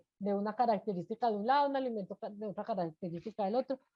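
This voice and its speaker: Lively intonation marks an unremarkable speaking voice. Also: woman. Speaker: food safety instructor. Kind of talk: lecture.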